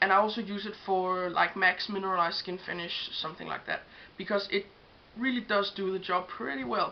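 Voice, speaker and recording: Woman with a slight Danish accent, medium pitch, ordinary pitch variation and a fairly quick pace. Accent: Danish accent, self-described, slight. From Denmark. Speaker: beauty vlogger. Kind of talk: tutorial. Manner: casual with frequent fillers.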